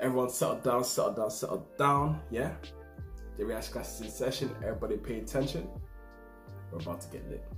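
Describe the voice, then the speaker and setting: Audible room echo and clear background music surround a man talking at a fairly quick pace. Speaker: reaction video host. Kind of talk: casual vlog chat. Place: home room. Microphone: webcam.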